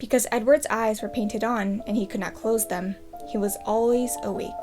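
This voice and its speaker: With music in the background, a woman speaks at a fairly quick pace and a fairly high pitch. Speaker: storyteller reading aloud. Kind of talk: children's book read aloud.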